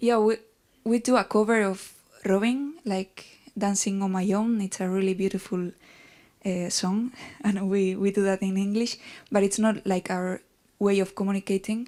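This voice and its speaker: On a very clean recording with a silent background, a woman with a Basque accent speaks at a moderate pace in a medium pitch, her intonation fairly even and her pauses long and frequent. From Basque Country. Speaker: band musician. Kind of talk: interview.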